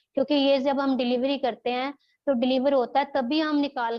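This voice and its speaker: A woman in a Punjabi accent, high-pitched, flat and monotone, at a moderate pace. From Punjab, India. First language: Punjabi (speaking Hindi). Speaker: childbirth educator. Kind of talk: online class lecture.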